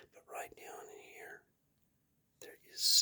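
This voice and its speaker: A man whispers at a moderate pace. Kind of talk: casual talk to camera, comic book unboxing.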